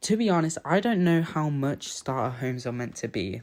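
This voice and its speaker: A man with a British accent, talking at a moderate pace. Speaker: gaming YouTuber. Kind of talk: casual chat over gameplay. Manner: casual, hesitant with fillers.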